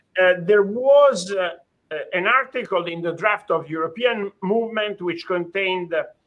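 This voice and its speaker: This is a man speaking. He has an Italian accent. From Italy. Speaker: judge. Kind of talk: lecture. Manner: halting, many fillers.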